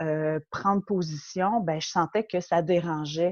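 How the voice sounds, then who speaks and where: Against a quiet background, a woman with a Quebec accent speaks at a very slow pace. Her pitch is fairly low and varies in an ordinary way. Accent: Quebec French, warm. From Quebec, Montreal. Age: 40s. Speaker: interview guest. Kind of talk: personal testimony in interview. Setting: remote interview.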